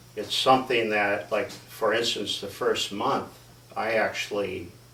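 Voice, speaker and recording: Speech comes from a man at a fairly slow pace. The room echo is audible, and background noise is noticeable. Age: 60s. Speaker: interviewee, resident affected by turbines. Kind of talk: interview. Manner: halting.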